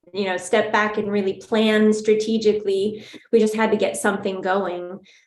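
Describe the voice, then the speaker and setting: Flat, monotone delivery at a moderate pace, with audible room echo. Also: woman, fairly high pitch for a woman. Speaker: trauma support program leader. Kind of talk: webinar panel discussion.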